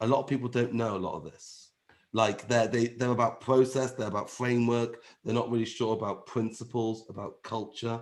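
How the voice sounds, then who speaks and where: With an English accent, a man at medium pitch talks at a fairly quick pace. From England. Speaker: agile trainer. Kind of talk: webinar presentation. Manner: animated.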